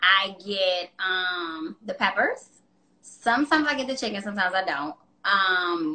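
An ordinary speaking voice carries lively intonation. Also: woman. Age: 30s. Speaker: fitness business owner. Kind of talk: casual interview chat.

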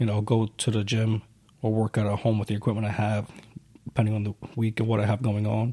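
A man with an American accent talks at a very fast pace, his fairly low voice dark, mellow and somewhat breathy. His intonation stays monotone and flat, broken by long, frequent pauses. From New York. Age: 20s. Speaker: security worker, army reservist, podcast co-host. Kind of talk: casual chat.

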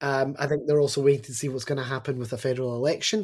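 A man speaks at a very fast pace with a fairly high pitch. The recording is very clean, with a silent background. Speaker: education advocate with doctorate, teaches students. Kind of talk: podcast interview. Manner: animated, opinionated.

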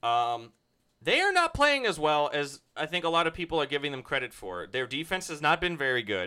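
The delivery moves at a fairly quick pace, with lively intonation and a bright, sharp tone. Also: man, fairly high pitch for a man. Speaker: podcast co-host. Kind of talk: casual chat.

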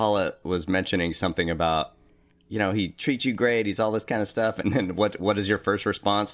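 A man with a plain, everyday voice speaks at a fairly quick pace and a fairly low pitch, with fairly even intonation and very even loudness. The recording is very clean, with a silent background. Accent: American. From US West Coast, East Bay area of California. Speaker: husband of the host, fill-in co-host. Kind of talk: casual chat.

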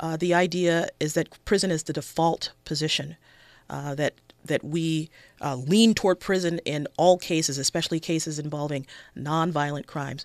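A woman with a Los Angeles accent speaks in a very deep, low pitch and fairly even intonation. The recording is very clean, with a silent background and a dry, close sound with no echo. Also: moderate pace. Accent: American, Los Angeles. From South Central Los Angeles. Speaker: public defender running for judge. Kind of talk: radio interview.

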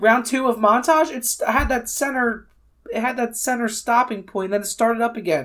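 A normal speaking voice in an American accent, at a moderate pace, with ordinary pitch variation. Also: woman, fairly high pitch for a woman, very clean recording, silent background. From US Northeast, near Philadelphia. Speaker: film podcast co-host. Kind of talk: casual chat.

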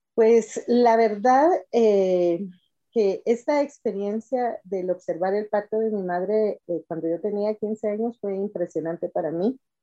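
Speaking very slowly at a medium pitch, a woman has a dark, mellow tone and ordinary pitch variation. The sound is dry and close, with no echo. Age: 50s. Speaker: schoolteacher and mother sharing birth stories. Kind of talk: interview testimony.

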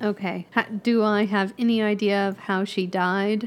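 A woman speaks at a moderate pace with medium pitch. Her intonation stays fairly even.

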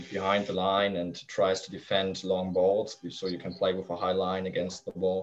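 In a German accent, a man with a very deep, low pitch talks at a moderate pace in a monotone, flat intonation with hardly any pauses. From northern Germany. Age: 20s. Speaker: youth football coach. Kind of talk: interview. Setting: video call.

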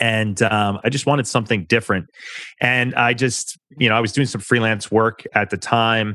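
A man with an American accent at a moderate pace, a normal speaking voice with fairly even intonation against a quiet background. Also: medium pitch for a man. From New York. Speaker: public relations firm founder, former journalist. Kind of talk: interview.

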